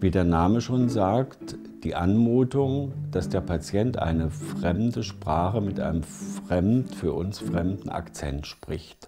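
A man's fairly low voice at a very slow pace, with very wide pitch swings, hardly any pauses, and clear music in the background. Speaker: speech therapist. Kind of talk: interview answer. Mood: calm, explanatory. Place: home room. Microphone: lapel.

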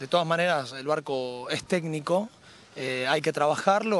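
A man speaks in a fairly high voice at a moderate pace. His pitch varies in an ordinary way, and the sound is dry with no echo. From Argentina, Rosario. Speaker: amateur sailor, regatta winner. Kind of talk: post-race interview. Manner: hesitant, many fillers. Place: waterside. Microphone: handheld.

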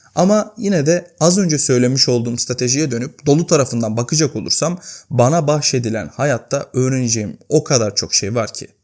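Speaking at a moderate pace, a man uses a medium pitch and lively intonation. He leaves hardly any pauses. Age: 20s. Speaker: YouTuber. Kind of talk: personal vlog monologue. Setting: home, at night. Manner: unscripted, conversational.

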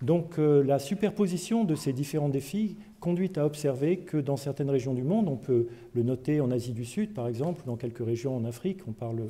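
A man speaks at a fairly high pitch with a dark, mellow tone and a somewhat breathy quality. His intonation is lively and his pace moderate. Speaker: agricultural research scientist. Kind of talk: lecture.

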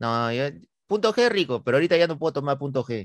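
An animated man at a fairly quick pace, dry with no echo, over a quiet background. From Peru. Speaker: comedy YouTuber, interviewer. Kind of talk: casual comedic interview. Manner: animated, joking. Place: home room. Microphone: studio mic.

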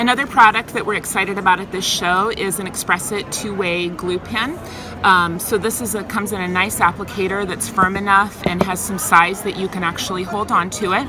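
With music in the background, a woman speaks at a fairly quick pace with hardly any pauses and fairly even intonation. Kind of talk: product demonstration. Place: hall.

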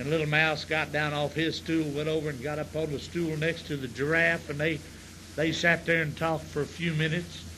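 In a Southern US accent, a man talks at a fairly quick pace with a bright, sharp tone and monotone, flat intonation. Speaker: comedian. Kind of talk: stand-up. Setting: stage with audience.

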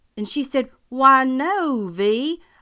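A woman talks with a Southern US accent. Her tone is bright and sharp. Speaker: actress performing a teacher character. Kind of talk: scripted comic monologue in character as a schoolteacher.

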